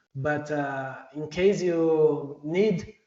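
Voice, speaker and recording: There is audible room echo around this voice. The man speaks at a fairly high pitch. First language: not English. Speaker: software engineer presenting at a user group. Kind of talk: technical presentation. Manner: hesitant, many fillers.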